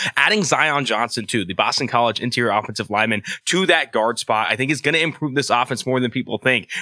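Speaking at a very fast pace with hardly any pauses, a man keeps a medium pitch. His tone is bright and sharp, with ordinary pitch variation. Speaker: football analyst. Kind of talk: casual sports betting chat. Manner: enthusiastic.

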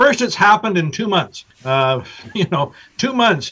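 A man speaks in a raised, projected voice at a moderate pace. His pitch swings very widely. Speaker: business professor. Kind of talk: radio interview.

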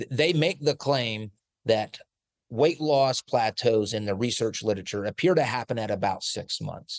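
A man with an American accent speaks at a moderate pace in a medium pitch, with a normal speaking voice. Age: 40s. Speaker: sports nutrition researcher. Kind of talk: casual chat.

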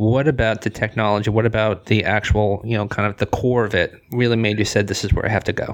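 A man's very fast, monotone, flat delivery at a fairly low pitch, with noticeable background noise. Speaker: podcast host. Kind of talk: interview conversation.

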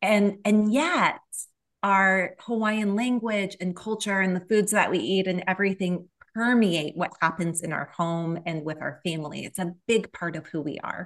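At a moderate pace and medium pitch, a woman talks in an ordinary speaking voice with ordinary pitch variation over a quiet background. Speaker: author. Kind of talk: interview conversation.

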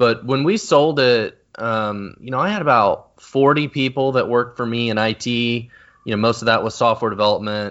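A man talks in an ordinary speaking voice at medium pitch. His pace is moderate and his pitch varies in an ordinary way. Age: 30s. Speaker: software company founder and CEO. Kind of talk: interview.

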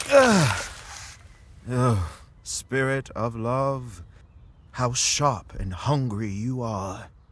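The delivery is theatrical and very slow, broken by long, frequent pauses, with ordinary pitch variation. Background noise is noticeable. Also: man, medium pitch for a man. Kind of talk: audio drama, Shakespeare verse. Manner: grand, lovesick, theatrical, lyrical; swooning, mood swinging between yearning and impatience.

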